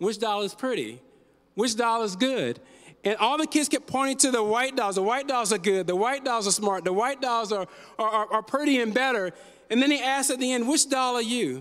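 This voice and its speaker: An American-accented man with an extremely high pitch talks at a fairly quick pace, keeping very even loudness and ordinary pitch variation. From US East Coast (Newark, New Jersey; later Virginia, California). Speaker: pastor. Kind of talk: sermon. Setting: church.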